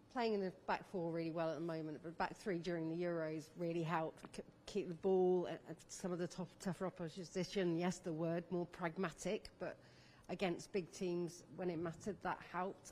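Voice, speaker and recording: The delivery comes at a moderate pace with a dark, mellow tone. Intonation stays monotone and flat throughout. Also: woman, fairly low pitch for a woman. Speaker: sports journalist. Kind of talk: press conference question.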